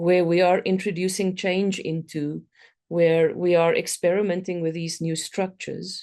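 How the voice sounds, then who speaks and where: In a South African accent, the speaker talks at a moderate pace with a dark, mellow tone and monotone, flat intonation. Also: woman, fairly low pitch for a woman. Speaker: complexity consultant and speaker. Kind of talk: conference talk. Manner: hesitant, many fillers.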